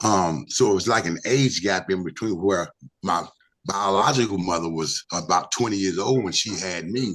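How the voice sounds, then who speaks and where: Speaking at a moderate pace, a man with a very deep, low pitch talks in a North Carolina accent. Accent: Southern US (North Carolina). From US South, Hickory, North Carolina. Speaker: retired basketball player. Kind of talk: interview conversation. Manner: halting, many fillers.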